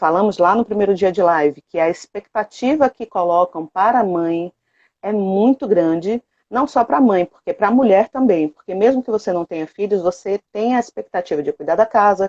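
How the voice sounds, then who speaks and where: A woman's medium-pitched, unremarkable speaking voice, with ordinary pitch variation, a moderate pace, and a dry, close sound with no echo. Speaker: productivity coach and co-host of a live. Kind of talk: live stream talk. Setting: online live stream.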